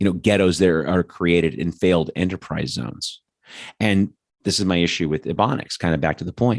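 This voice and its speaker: Very clean and silent in the background, this recording has a dry, close sound with no echo. A man with a very deep, low voice speaks fairly quickly with ordinary pitch variation. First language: not English. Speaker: political podcast host. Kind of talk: opinion monologue. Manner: halting, with many repetitions and fillers; animated, angry.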